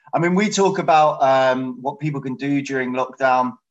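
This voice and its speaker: This man has a plain, everyday voice with fairly high pitch. He talks at a moderate pace with ordinary pitch variation. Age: 30s. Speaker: dating coach. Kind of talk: interview.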